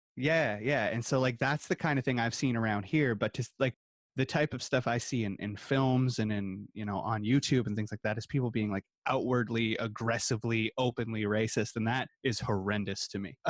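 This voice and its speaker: A man with a Canadian accent has a plain, everyday voice at medium pitch with fairly even intonation. He keeps a moderate pace in a dry, close sound with no echo. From small-town Canada. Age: 30s. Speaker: podcast co-host. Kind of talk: casual chat.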